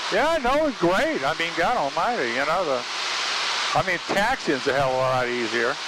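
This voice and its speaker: Through loud background noise, a man with an American accent talks at a moderate pace, the sound dry with no echo. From Florida. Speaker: pilot. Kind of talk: casual cockpit talk over intercom. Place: plane. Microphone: headset.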